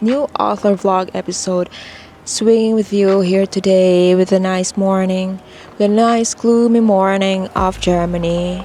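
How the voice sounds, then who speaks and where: Soft-spoken and very slow, the voice stays monotone and flat against noticeable background noise. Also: woman. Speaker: author vlogger. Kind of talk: casual vlog monologue. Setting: filming alone to camera. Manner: mellow, soft-spoken.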